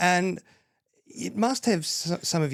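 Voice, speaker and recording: A man speaks with an Australian accent. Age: 50s. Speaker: accountant and mortgage lender. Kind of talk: podcast interview.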